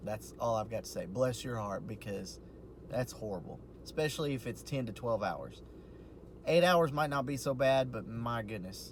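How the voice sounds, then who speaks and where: A man with a somewhat breathy, medium-pitched voice speaks fairly quickly with ordinary pitch variation, and room echo is audible. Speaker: vlogger and postal worker. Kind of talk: casual video diary. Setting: in a parked car. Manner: quiet, hushed.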